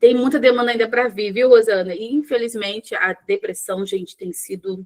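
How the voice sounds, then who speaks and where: Ordinary pitch variation marks a woman talking at a moderate pace. There is no echo, and the sound is close and dry. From Rio de Janeiro, Brazil. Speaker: psychologist. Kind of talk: live online workshop. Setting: live stream with chat. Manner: conversational, informal.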